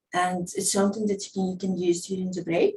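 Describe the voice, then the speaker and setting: Somewhat breathy woman's voice at medium pitch, dark and mellow in tone, with a non-native accent and ordinary pitch variation. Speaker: movement teacher. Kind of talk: casual talk to camera.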